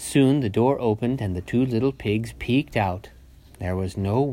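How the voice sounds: The recording presents a natural reading voice.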